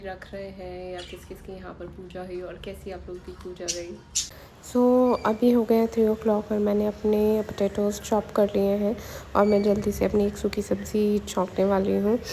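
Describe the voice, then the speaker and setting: Against noticeable background noise, a woman at a medium pitch speaks at a fairly slow pace with fairly even intonation. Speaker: vlogger. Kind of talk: casual vlog narration. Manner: hesitant with fillers.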